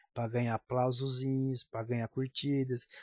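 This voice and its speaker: At a moderate pace, a somewhat breathy voice speaks with flat, monotone intonation. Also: man. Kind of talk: political commentary monologue.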